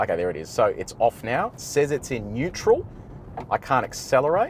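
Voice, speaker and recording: The voice swings very widely in pitch. The sound is dry with no echo, over light background noise. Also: man. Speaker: car reviewer. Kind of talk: commentary. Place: car. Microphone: lapel.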